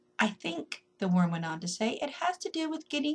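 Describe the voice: The voice is plain reading aloud. It stays that way throughout.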